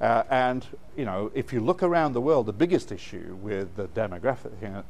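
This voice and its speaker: A man speaks at a fairly quick pace with lively intonation. Audible room echo surrounds his voice. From northern England (Bradford, Yorkshire). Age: 60s. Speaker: education consultant and speaker. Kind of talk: keynote lecture.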